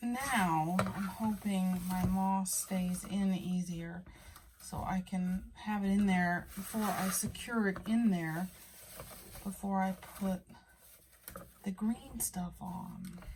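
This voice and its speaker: A woman at a medium pitch, very slow and with long, frequent pauses, fairly even intonation, and noticeable background noise. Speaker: plant hobbyist youtuber. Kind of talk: tutorial. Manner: casual, chatty; whispering.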